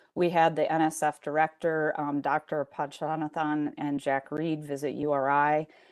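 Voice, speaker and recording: A woman speaks in a very deep, low voice with flat, monotone intonation and hardly any pauses against a quiet background. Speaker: university research administrator. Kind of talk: committee presentation. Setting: board meeting, partly remote. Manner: fast.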